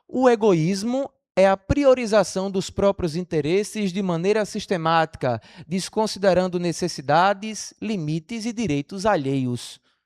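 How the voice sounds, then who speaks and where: A man's high-pitched voice at a fairly slow pace, lively intonation, dry and close with no echo, on a very clean recording with a silent background. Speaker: spiritist lecturer. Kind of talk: lecture. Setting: stage with audience.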